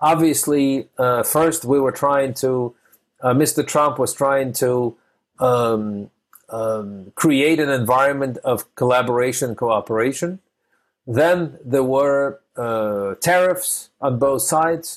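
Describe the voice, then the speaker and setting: At a very slow pace, a man with a fairly high pitch talks with very even loudness and ordinary pitch variation. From a formerly communist country, now US-based. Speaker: podcast host interviewing entrepreneurs. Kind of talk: interview. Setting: remote call. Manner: frequent fillers and hesitations.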